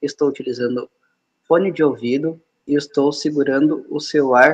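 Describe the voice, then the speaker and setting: A man talks at a fairly slow pace in a fairly high, monotone voice with flat intonation. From Rio Grande do Sul, Brazil. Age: 20s. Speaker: app developer and trainer. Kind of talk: live video interview. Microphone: phone held at shoulder height, wearing earphones.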